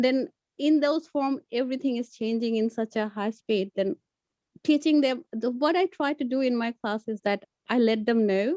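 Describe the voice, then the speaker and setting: Against a quiet background, a woman with a Bengali accent speaks at a high pitch in a dark, mellow tone. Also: ordinary pitch variation, moderate pace, dry sound with no echo. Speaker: community language teacher; teacher sharing classroom experience. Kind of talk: workshop discussion. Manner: halting. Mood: calm, reflective. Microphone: video call.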